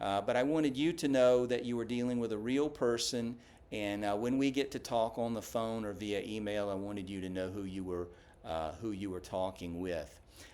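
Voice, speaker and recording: A man with a Southern US accent. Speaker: small business owner, bookkeeper. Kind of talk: business introduction video. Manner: many filler words (uh).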